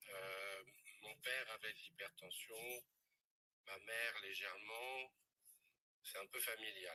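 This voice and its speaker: A man speaks very slowly at a medium pitch, with a bright, sharp tone. His intonation is fairly even, broken by long, frequent pauses. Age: 60s. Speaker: testimony giver, former clinic director. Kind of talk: testimony. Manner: hesitant, with fillers.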